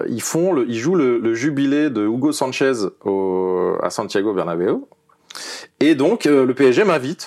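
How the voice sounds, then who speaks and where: This man speaks at a very slow pace with lively intonation. His pitch sits in the medium range. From Paris region, France. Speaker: former footballer. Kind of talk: interview. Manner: halting, many fillers.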